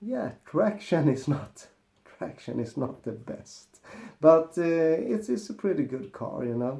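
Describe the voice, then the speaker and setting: Speaking fairly slowly with a Swedish accent, a man has a dark, mellow tone, a fairly high pitch and very wide pitch swings. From Sweden. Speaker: car mechanic youtuber. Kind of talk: casual vlog monologue.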